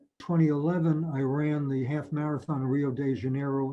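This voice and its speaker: A man in a New York accent, fairly high in pitch, with ordinary pitch variation and a fairly quick pace. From New York, Mount Vernon. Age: 80s+. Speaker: retired marathon runner. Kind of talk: personal storytelling interview.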